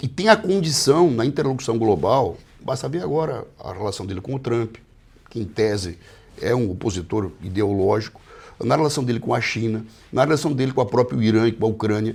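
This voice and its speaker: A man with a medium pitch speaks at a fairly quick pace, somewhat breathy, with lively intonation. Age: 60s. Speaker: politician. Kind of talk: interview. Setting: office.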